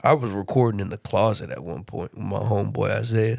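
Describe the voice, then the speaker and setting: A man speaks at a fairly quick pace with fairly even intonation. His is an unremarkable speaking voice. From Baltimore, Maryland; moved to San Antonio at 13. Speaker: rapper. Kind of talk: casual chat.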